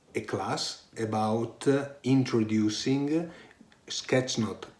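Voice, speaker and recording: Speaking with an Italian accent, a man with medium pitch and ordinary pitch variation talks at a very slow pace. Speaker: online course instructor, IT director. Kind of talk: course introduction. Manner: halting, many fillers.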